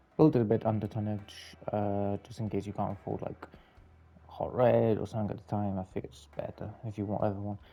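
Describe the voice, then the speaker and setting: The quiet voice has a dark, mellow tone and fairly even intonation. It moves at a fairly quick pace, with big swings in loudness. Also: man, fairly low pitch for a man. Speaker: gaming video creator. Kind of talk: gameplay commentary. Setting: home, late at night. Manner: quiet, subdued.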